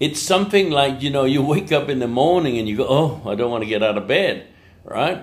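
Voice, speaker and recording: Amid audible room echo, a man with a fairly high pitch talks at a fairly quick pace in an animated tone with lively intonation. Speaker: English teacher. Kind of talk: motivational talk.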